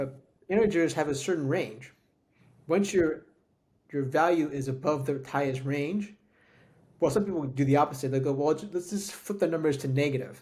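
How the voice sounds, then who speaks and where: This man's fairly high, somewhat breathy voice shows ordinary pitch variation, moving at a moderate pace broken by long, frequent pauses. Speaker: tech podcast co-host. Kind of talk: casual chat.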